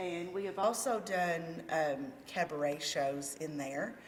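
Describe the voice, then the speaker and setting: Amid audible room echo, a woman with a fairly low voice speaks very slowly with lively intonation. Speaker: community theatre president. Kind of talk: casual interview.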